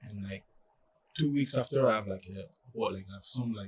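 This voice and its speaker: A man with a French accent sounds somewhat breathy. He keeps a moderate pace and ordinary pitch variation. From France. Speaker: college soccer player. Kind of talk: podcast interview. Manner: halting, many fillers.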